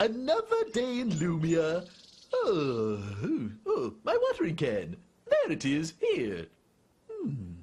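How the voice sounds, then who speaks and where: A man's cartoonish character voice at a fairly slow pace, broken by long, frequent pauses. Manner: fussy, self-absorbed muttering.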